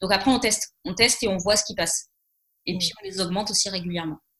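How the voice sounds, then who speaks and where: This woman's voice sits at a medium pitch and has a bright, sharp tone. Her pitch varies in an ordinary way. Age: 20s. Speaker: business coach. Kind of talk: interview. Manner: hesitant, many fillers.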